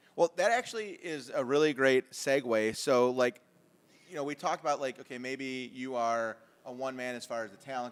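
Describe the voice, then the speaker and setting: A man with an unremarkable speaking voice talks at a fairly quick pace, his medium pitch showing ordinary variation. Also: big swings in loudness. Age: 40s. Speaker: podcast host. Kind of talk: casual chat.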